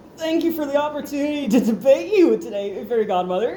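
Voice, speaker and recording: A put-on character voice, female-sounding, high-pitched and squeaky, rushes along at a very fast pace in a nervous tone over clear background noise. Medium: read story. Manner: nervous, squeaky with cracks.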